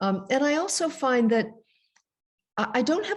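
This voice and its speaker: Moving at a moderate pace, a woman has an unremarkable speaking voice, and her pitch varies in an ordinary way. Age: 60s. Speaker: author and presenter. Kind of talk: casual chat.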